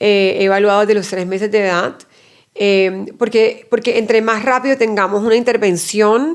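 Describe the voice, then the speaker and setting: At a moderate pace, an unremarkable speaking voice holds fairly even intonation. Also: woman, fairly high pitch for a woman. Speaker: pediatric neuropsychologist. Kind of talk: interview.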